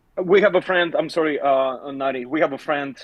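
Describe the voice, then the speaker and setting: Fairly high in pitch, a man with an Eastern European accent speaks at a fairly quick pace. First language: non-native English speaker. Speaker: scam baiter. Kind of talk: live Q&A discussion. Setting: livestream.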